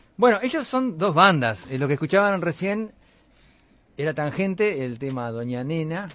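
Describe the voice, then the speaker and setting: Moderate in pace, a man speaks at a fairly high pitch. His pitch swings are very wide. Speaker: radio host. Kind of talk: casual chat.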